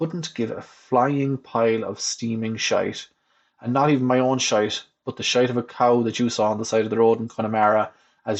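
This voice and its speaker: At a moderate pace, a man with a West of Ireland accent talks with fairly even intonation. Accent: Irish, West of Ireland. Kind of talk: reading own humorous blog essay. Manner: dry, wry.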